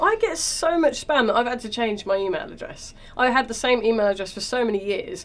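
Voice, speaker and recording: Over noticeable background noise, a woman speaks at a fairly quick pace and a high pitch. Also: lively intonation. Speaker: comedian. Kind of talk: casual chat.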